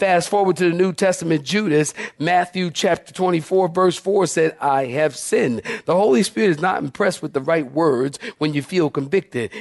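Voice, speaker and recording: A man with a high-pitched voice speaks in an animated tone at very even loudness over noticeable background noise. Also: ordinary pitch variation, moderate pace. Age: 50s. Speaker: pastor. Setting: church with live congregation. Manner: animated, emphatic preaching with repeated words and stammered restarts.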